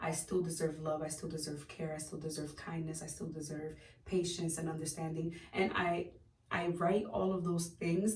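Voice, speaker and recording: With audible room echo around her, a woman speaks at a fairly quick pace in a fairly low pitch, her intonation fairly even. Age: 20s. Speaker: lifestyle vlogger. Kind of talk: casual vlog monologue. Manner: hesitant, many fillers.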